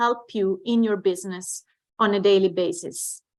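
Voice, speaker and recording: With an Italian accent, a woman speaks at a fairly slow pace with ordinary pitch variation. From Italy. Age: 40s. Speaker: network marketing distributor. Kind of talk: online training presentation.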